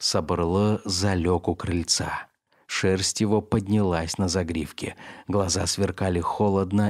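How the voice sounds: Fairly even intonation in a natural reading voice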